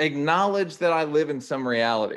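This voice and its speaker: Here a man speaks with a Philadelphia accent. His intonation is lively. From Philadelphia, US. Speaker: actor. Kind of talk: casual chat. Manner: loud.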